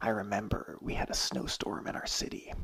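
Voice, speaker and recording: Someone whispers at a fairly quick pace against noticeable background noise. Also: man. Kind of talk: ASMR ramble, personal story. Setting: home studio mic. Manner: whispered.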